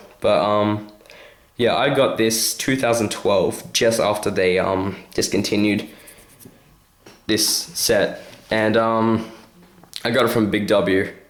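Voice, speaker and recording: With an Australian accent, a man speaks at a very slow pace with fairly even intonation and long, frequent pauses, in a room with audible echo. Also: medium pitch for a man, very even loudness. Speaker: toy reviewer / YouTuber. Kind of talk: product review. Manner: hesitant, many fillers; casual.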